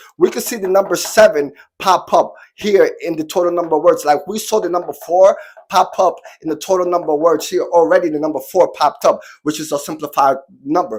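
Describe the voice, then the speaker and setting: Animated in tone, a man talks at a fairly quick pace. His pitch is high, with ordinary variation. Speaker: online spiritual teacher. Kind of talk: tutorial.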